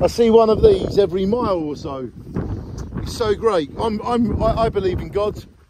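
A man with a high pitch talks at a fairly slow pace. The sound is dry with no echo, though background noise is noticeable. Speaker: travel vlogger. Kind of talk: casual vlog chat. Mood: cheerful, enthusiastic. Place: open country. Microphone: phone near.

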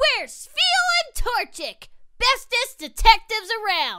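In a cartoonish character voice, a woman speaks at an extremely high pitch with lively intonation and a fairly slow pace. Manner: upbeat, excitable.

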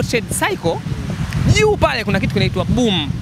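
A man with a Tanzanian accent talks at a fairly quick pace, the sound dry with no echo but with noticeable background noise. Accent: Tanzanian Swahili. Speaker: football fan. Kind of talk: casual chat. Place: street. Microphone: handheld.

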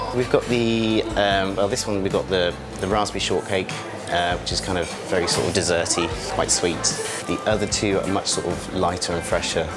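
The talking proceeds at a moderate pace. Music can be heard clearly behind it. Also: man. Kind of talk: interview answer. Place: bar.

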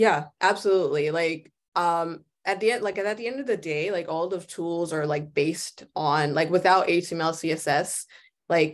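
Against a quiet background, a woman with an ordinary speaking voice and an American accent talks at a fairly low pitch with ordinary pitch variation. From New York City, the Bronx. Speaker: visual designer; guest. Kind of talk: guest lecture. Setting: video call. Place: home room. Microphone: headset.

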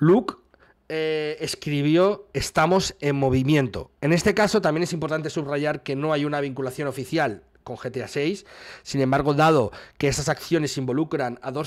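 A man with a Spanish accent, fairly high pitch and ordinary pitch variation, moving at a moderate pace over a quiet background. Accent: Spanish (Spain). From Spain. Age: 40s. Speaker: gaming news streamer. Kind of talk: news commentary video. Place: home room. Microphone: studio mic.

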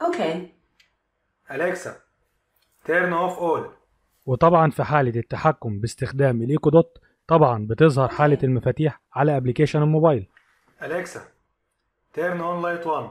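Speaking at a moderate pace with long, frequent pauses, a man with a fairly high pitch and ordinary pitch variation is captured dry and close with no echo on a very clean recording with a silent background. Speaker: tech YouTuber. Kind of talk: tutorial; casual chat.

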